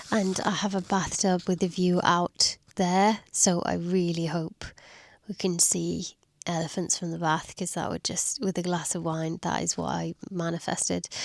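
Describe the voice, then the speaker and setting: The speech moves at a fairly slow pace. The recording is very clean, with a silent background. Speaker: travel vlogger. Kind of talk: vlog talking to camera. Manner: low-energy, unenthusiastic.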